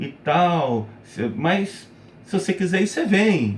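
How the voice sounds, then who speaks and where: Pitch swinging very widely, a man talks at a fairly slow pace. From Brazil, Rio de Janeiro and São Paulo. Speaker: gaming YouTuber. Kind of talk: casual personal talk to camera.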